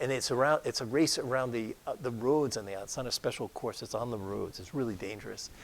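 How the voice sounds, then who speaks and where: This man speaks with a Rhode Island accent at a fairly quick pace. His pitch is medium and his intonation fairly even. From Rhode Island, US (Newport). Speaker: doctor. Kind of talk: interview. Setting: talk before an audience.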